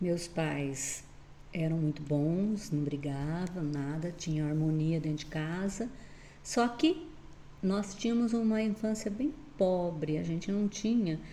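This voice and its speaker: A woman speaks at a very slow pace with ordinary pitch variation. The recording has audible room echo and noticeable background noise. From southern Brazil, Paraná (Astorga area). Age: 60s. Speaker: retired teacher. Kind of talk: interview.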